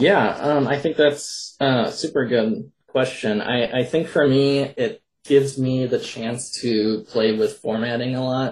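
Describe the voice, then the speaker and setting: Somewhat breathy, a man speaks at a fairly slow pace with hardly any pauses. His pitch is medium, with ordinary pitch variation. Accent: Upper Midwest. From Minnesota. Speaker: poet and horror author. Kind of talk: interview.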